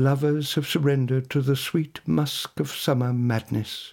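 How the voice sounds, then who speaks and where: A man speaks in a theatrical, solemn tone at a medium pitch. His delivery is fairly slow and somewhat breathy. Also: very clean recording, silent background. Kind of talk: poetry reading in the first-person voice of an ancient olive tree, dramatic and literary. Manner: slow, measured, theatrical and solemn, with weighty pauses and grand, wistful emphasis.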